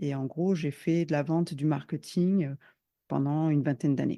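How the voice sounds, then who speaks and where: A woman with a very deep, low pitch and a dark, mellow tone talks at a moderate pace with ordinary pitch variation over a quiet background. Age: 40s. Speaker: business consultant and coach. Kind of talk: podcast interview.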